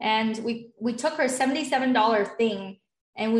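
A woman speaks at a fairly high pitch, somewhat breathy, with fairly even intonation. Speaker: online business founder and group sales coach. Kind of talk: interview.

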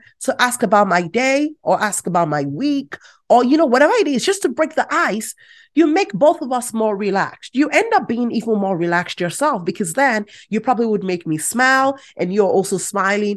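At a moderate pace, a woman with a high pitch sounds animated, her pitch ranging very widely against a quiet background. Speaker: podcast host and agile coach. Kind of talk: solo podcast tutorial.

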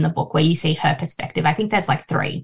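Lively in intonation, a woman speaks at a fairly low pitch with vocal fry. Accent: Australian. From Australia, Fijian Indian family. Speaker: writer. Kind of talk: interview.

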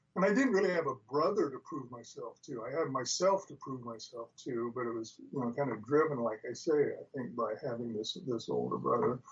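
With hardly any pauses, a man in an American accent speaks at a fairly high pitch amid noticeable background noise. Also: lively intonation, fairly quick pace. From Spokane, Washington, US Northwest. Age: 70s. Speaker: former pro football player and retired professor, author. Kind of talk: interview, conversational storytelling.

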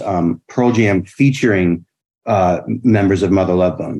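Over a quiet background, a man with a fairly low, dark, mellow voice speaks at a moderate pace with ordinary pitch variation. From Rhode Island, Bristol. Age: 50s. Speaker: chef. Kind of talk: casual chat.

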